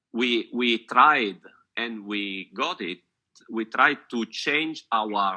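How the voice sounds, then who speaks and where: Speaking at a very slow pace, a man's tone comes across bright and sharp. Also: medium pitch for a man, ordinary pitch variation. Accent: Italian. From Italy. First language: Italian. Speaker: photographer and photography teacher. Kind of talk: casual chat. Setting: video call. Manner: halting.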